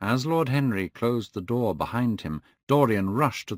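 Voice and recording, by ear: A person reads aloud in a natural voice, with quiet in the background.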